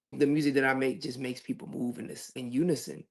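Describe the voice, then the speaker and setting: Someone talks in a Louisiana accent at a very fast pace. The background is quiet. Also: man. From Louisiana, Lafayette. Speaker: singer. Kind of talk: interview. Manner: casual.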